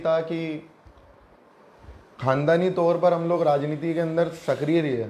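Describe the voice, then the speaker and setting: A man speaks with a high pitch in a monotone, flat intonation. There is audible room echo. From India, Ajmer (Rajasthan). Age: 20s. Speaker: local election candidate. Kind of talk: interview.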